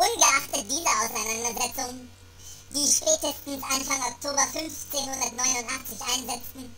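A woman's raised, projected voice with a high pitch, fairly even intonation and a moderate pace, over noticeable background noise. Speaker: amateur reader. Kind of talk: reading aloud.

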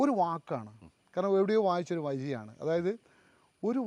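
This man's voice sits high in pitch and has a dark, mellow tone. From Kerala, Kannur. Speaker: writer. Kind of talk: interview.

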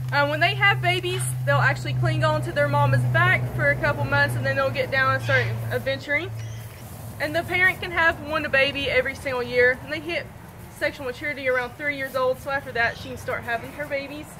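A woman talks at a very fast pace. Noticeable background noise runs behind her. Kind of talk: keeper talk to visitors. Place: open country.

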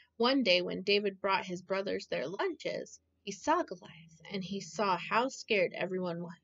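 Plain reading aloud with lively intonation. The background stays quiet.

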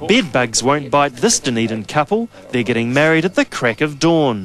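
Big pitch swings and a fairly bright tone shape a man's medium-pitched voice. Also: moderate pace.

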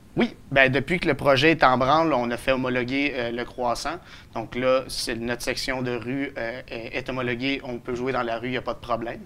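A voice moving at a moderate pace. Its tone is bright and sharp, its intonation flat and monotone. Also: man. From Quebec, Beloeil; Quebec. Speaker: citizen initiator of a local project; interviewee. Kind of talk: TV interview. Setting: studio. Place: studio. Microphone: lapel.

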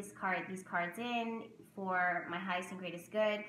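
A woman talks at a fairly slow pace. Her voice has audible room echo, with light background noise. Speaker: tarot reader and spiritual content creator; tarot teacher vlogger. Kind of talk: casual vlog tutorial; tutorial. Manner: loud, animated. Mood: calm, warm. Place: home room. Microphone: webcam.

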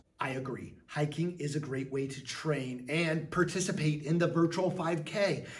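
A man at a moderate pace, his pitch shifting in an ordinary way. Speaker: teacher hosting a school show. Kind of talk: upbeat show hosting to students. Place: classroom. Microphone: phone near.

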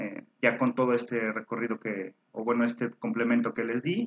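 The speaker is a man. He talks at a moderate pace. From Mexico. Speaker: book reviewer, university alumnus; book reviewer. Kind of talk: book recommendation talk. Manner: hesitant, many fillers and repetitions. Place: home room. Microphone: webcam.

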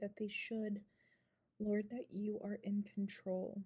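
Soft-spoken and somewhat breathy, a woman's voice with a dark, mellow tone. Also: quiet background. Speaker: ASMR creator. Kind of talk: spoken prayer. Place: home room. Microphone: phone near.

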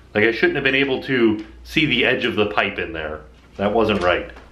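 Audible room echo hangs around the voice. A man speaks at a fairly quick pace. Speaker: home vlogger. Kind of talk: casual vlog chat. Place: home room. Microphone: phone near.

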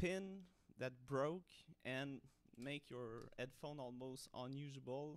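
A non-native accent at a very slow pace, with ordinary pitch variation. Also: man. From Montreal, Canada. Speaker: hobbyist 3D designer. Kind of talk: casual tutorial talk to camera. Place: home room. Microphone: studio mic.

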